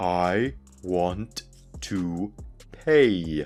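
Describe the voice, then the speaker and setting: Clear music plays behind a man doing a put-on character voice, very deep and low in pitch with lively intonation. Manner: slow, overly enunciated, condescending.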